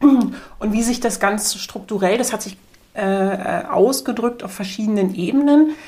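A woman with a fairly high voice and ordinary pitch variation speaks at a fairly slow pace, her voice somewhat breathy. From East Berlin, Germany. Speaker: media researcher. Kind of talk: interview. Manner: hesitant, many fillers.

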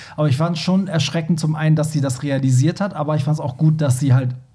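A man speaks very fast in a somewhat breathy voice with fairly even intonation. Room echo is audible. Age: 30s. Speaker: podcast host. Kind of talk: casual chat.

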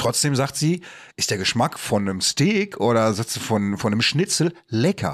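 A man at a medium pitch speaks at a fairly slow pace with very wide pitch swings and very even loudness, on a very clean recording with a silent background. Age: 40s. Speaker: podcast host. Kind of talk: casual chat.

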